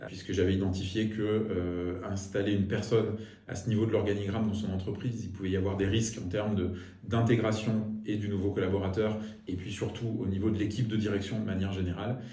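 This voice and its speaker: Amid noticeable background noise and audible room echo, a man with a fairly low pitch speaks at a fairly quick pace in a monotone, flat intonation. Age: 40s. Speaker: business executive. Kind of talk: interview monologue. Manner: hesitant, with frequent fillers.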